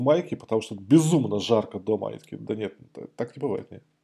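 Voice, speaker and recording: At a very fast pace, a man talks with a dark, mellow tone, vocal fry and ordinary pitch variation. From Moscow, Russia. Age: 40s. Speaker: IT specialist. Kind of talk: casual interview.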